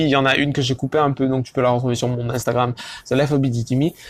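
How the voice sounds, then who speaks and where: Very fast speech from a man with a fairly high pitch. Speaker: YouTuber, fashion vlogger. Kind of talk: casual vlog. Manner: hesitant, many fillers.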